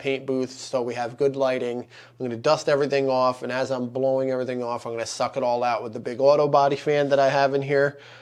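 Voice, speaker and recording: Noticeable background noise surrounds a man's voice. He talks at a medium pitch in a monotone, flat intonation. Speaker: guitar YouTuber. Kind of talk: tutorial. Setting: workshop paint booth. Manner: casual, filler-heavy.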